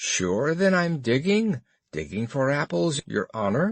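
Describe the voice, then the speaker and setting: A put-on character voice at a fairly slow pace with very wide pitch swings. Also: man, medium pitch for a man. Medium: read story.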